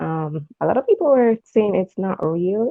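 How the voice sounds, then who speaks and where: A woman with a Jamaican accent speaks using lively intonation. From Jamaica, Portmore, Saint Catherine. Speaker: caller. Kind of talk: casual chat.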